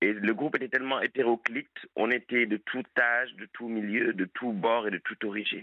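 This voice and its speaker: A man is speaking at a fairly slow pace. His intonation is fairly even. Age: 20s. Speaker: caller, recovering alcoholic. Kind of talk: late-night radio call-in testimony. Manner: hesitant, many filler sounds.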